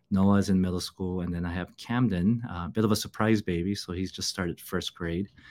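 Very deep and low, this man's voice carries an American accent with fairly even intonation. He talks at a fairly quick pace with hardly any pauses. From Los Angeles, California. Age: 50s. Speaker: pastor. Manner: halting, many fillers.

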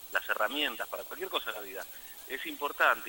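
A man speaks over noticeable background noise. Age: 40s. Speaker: musician. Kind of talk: interview.

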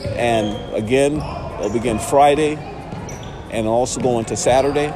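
A man talks at a moderate speed while noticeable background noise runs underneath. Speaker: podcast host. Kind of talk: heated rant, fired-up shouted pep talk. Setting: at a high school gym, in person. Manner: loud, animated, defiant; friendly, enthusiastic.

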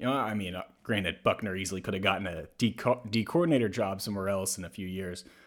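Ordinary pitch variation and a very fast pace mark this speaker with an American accent, in a very clean recording with a silent background. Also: man, fairly low pitch for a man. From US South. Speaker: sports podcast host. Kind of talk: casual chat.

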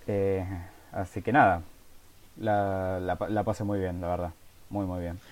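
With an Argentine accent, a man talks in a very deep, low voice with monotone, flat intonation at a moderate pace, leaving long, frequent pauses, in a very clean recording with a silent background. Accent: Argentine Spanish (Rioplatense). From Argentina. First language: Spanish. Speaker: music blogger, interviewer. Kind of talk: interview. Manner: repeats words, stammers slightly.

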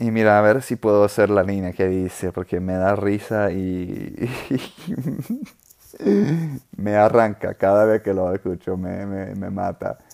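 A man with a fairly low voice and an English accent speaks at a very slow pace. He hardly pauses at all. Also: ordinary pitch variation. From US South, New Orleans. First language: English (speaking Spanish). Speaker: podcast host. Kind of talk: casual monologue. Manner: halting, many repetitions.

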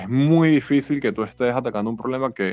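A man at medium pitch with ordinary pitch variation, against a quiet background. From Venezuela, Caracas. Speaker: startup founder. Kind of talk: interview.

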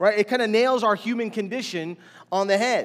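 A man at a moderate pace in an animated tone. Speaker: pastor. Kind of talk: sermon. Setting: church.

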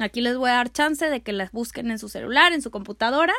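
A woman speaks with an animated tone. Her intonation is lively. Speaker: art history podcaster and youtuber. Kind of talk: casual educational monologue. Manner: loud.

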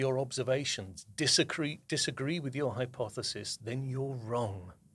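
A somewhat breathy man with a southern English accent at a moderate pace, in a very clean recording with a silent background. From southern England.

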